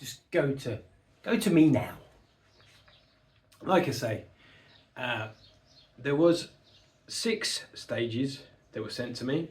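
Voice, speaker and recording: A man with a British accent and a fairly high pitch speaks at a very slow pace, with lively intonation and long, frequent pauses. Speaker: model-building YouTuber. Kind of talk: casual video outro.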